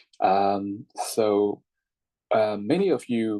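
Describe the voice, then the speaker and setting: The voice has a dark, mellow tone with a Thai accent. The sound is dry and close, with no echo. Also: man. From Thailand. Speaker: English teacher. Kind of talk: online class lecture. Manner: halting, many fillers and repetitions.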